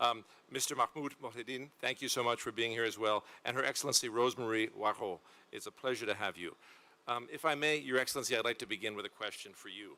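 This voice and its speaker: Talking at a very fast pace, a man with a bright, sharp tone keeps a medium pitch and fairly even intonation. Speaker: panel moderator. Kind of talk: panel discussion.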